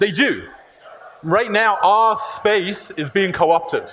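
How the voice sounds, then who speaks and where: Here a man speaks at a high pitch. His pitch variation is ordinary. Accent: British. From UK. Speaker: tech company CEO. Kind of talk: conference talk.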